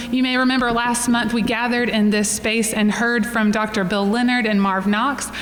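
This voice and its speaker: Fairly high in pitch, a woman speaks at a moderate pace with fairly even intonation, amid noticeable background noise and audible room echo. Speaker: church forum moderator. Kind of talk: event introduction; guided breath prayer. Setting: room with live audience.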